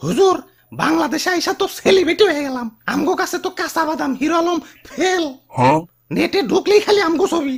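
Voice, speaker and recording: A cartoonish character voice with an extremely high pitch moves along at a moderate pace. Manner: excitable, complaining.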